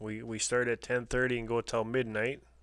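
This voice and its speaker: Relaxed in tone, a man speaks at a moderate pace and medium pitch with monotone, flat intonation, on a very clean recording with a silent background. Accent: Canadian. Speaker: homesteading livestream host. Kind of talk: live stream chat with viewers. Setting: live stream. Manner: casual, relaxed.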